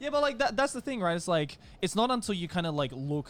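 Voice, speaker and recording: Speaking in an Australian accent, a man lets his pitch swing very widely. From Australia, east coast. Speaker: podcast host. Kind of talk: casual chat.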